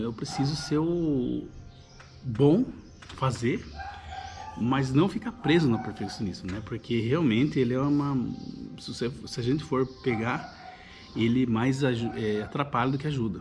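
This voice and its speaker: A man with a rural Brazilian accent at a fairly slow pace, with long, frequent pauses, ordinary pitch variation, music in the background and audible room echo. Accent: caipira, countryside Brazilian. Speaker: YouTuber, personal development. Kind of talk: casual monologue to camera. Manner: halting, many repetitions and fillers.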